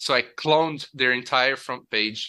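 A bright, sharp tone comes through on a very clean recording with a silent background. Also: man. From Brazil, state of Rio de Janeiro (Nova Friburgo). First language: Portuguese. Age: 30s. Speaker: software engineer, former oil rig worker. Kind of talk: interview.

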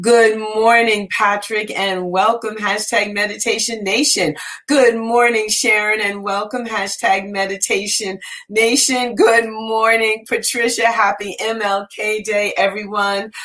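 Noticeable background noise sits behind a woman speaking at a fairly slow pace. Her voice is fairly high, with an animated, warm tone. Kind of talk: radio-style DJ patter, live-streamed morning meditation show opening with greetings. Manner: animated, warm, high-energy, repeating greetings in a sing-song cadence.

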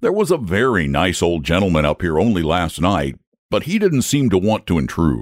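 A man's put-on character voice, low in pitch with very wide pitch swings, at a moderate pace, in a very clean recording with a silent background

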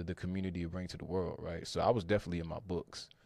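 Against a quiet background, a man with an American accent speaks at a very fast pace in a very deep, low pitch. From North Carolina, Triangle area. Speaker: tech recruiter. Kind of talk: podcast interview.

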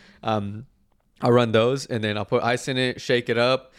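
A man with a Texan accent in a monotone, flat intonation, on a very clean recording with a silent background. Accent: Texan American. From Texas, Dallas area. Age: 20s. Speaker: social media content creator. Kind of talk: casual chat.

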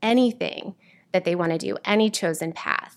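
A woman with a plain, everyday voice at medium pitch and ordinary pitch variation. The recording is very clean, with a silent background. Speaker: theater teacher. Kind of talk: casual interview.

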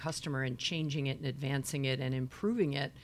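A woman speaks at a very fast pace in a very deep, low voice. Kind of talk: live interview.

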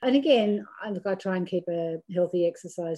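Speaking at a moderate pace with an Australian accent, a woman has a fairly low pitch and a dark, mellow tone. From Australia, rural New South Wales–Victoria border. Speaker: businesswoman and board chair. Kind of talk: interview.

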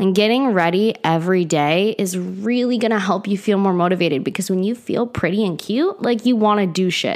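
The speaker moves at a fairly quick pace with hardly any pauses, ordinary pitch variation and very even loudness. Noticeable background noise runs underneath. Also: woman, medium pitch for a woman. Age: 20s. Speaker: wellness podcast host. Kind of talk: casual solo podcast monologue. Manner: casual, chatty with laughs and sighs.

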